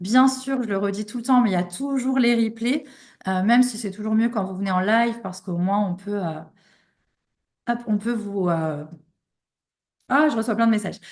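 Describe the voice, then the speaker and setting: Against a quiet background, a woman talks with a somewhat breathy voice, ordinary pitch variation, and long, frequent pauses. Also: fairly high pitch for a woman, moderate pace. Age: 30s. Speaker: online business coach. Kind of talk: live online workshop. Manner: hesitant, many fillers.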